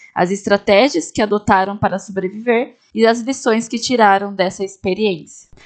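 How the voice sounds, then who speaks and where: A plain, everyday voice from a woman, fairly high in pitch, moderately paced and fairly even in intonation, against a quiet background. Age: 20s. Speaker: history student, podcast host. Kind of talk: scripted narration. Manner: formal.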